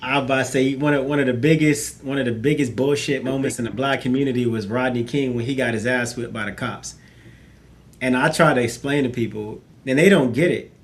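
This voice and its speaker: Speaking very fast with fairly even intonation, a man with a medium-pitched voice is heard amid audible room echo. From South Central Los Angeles. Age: 40s. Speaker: panelist. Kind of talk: casual chat.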